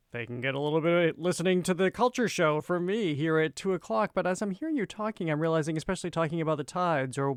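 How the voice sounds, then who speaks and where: With hardly any pauses, a man talks at a very fast pace in a fairly high pitch with ordinary pitch variation. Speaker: radio show host. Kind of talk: public radio host. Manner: conversational, interviewing.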